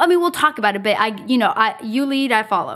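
At a moderate pace, a woman speaks in an ordinary speaking voice with ordinary pitch variation. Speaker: podcast host. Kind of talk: casual chat.

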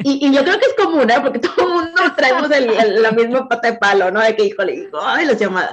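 A woman with a Mexican accent speaks at a high pitch with very wide pitch swings and hardly any pauses. Noticeable background noise is present. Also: fairly quick pace. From Veracruz, Mexico. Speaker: insurance agent. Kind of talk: interview.

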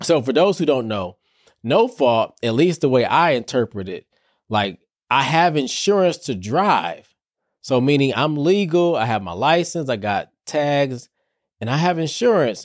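Very wide pitch swings mark this fairly slow delivery in an American accent. The recording is very clean, with a silent background. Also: man, fairly high pitch for a man. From Detroit, US Midwest. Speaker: therapist and podcast host. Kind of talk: solo podcast monologue. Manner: casual, conversational.

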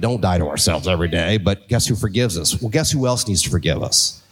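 At a fairly quick pace, a man with a plain, everyday voice speaks at a fairly low pitch with ordinary pitch variation, recorded very cleanly against a silent background. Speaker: car dealership executive. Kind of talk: live panel conversation. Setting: stage with audience.

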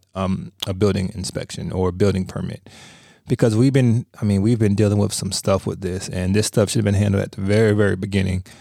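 Low-ish in pitch, a man speaks with a dark, mellow tone at a fairly quick pace. The sound is dry and close, with no echo. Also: very clean recording, silent background. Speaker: podcast co-host and real estate agent. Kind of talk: casual chat.

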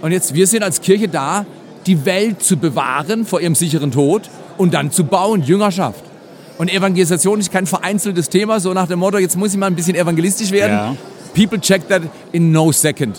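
Over noticeable background noise, a man talks at a fairly quick pace in a high, animated voice with ordinary pitch variation. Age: 60s. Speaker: pastor. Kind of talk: interview conversation. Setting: conference venue.

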